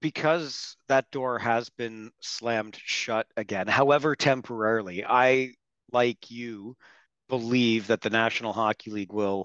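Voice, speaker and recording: Recorded very cleanly against a silent background, a man with a Canadian accent uses a normal speaking voice at medium pitch, his fairly even intonation captured in a dry, close sound with no echo. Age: 50s. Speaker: hockey podcast host. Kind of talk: interview.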